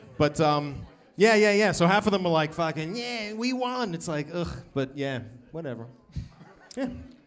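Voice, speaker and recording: In a Boston accent, a man speaks at a high pitch and moderate pace with very wide pitch swings and long, frequent pauses. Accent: Boston American. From US, Boston area. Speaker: comedian. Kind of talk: live podcast chat. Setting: stage with audience.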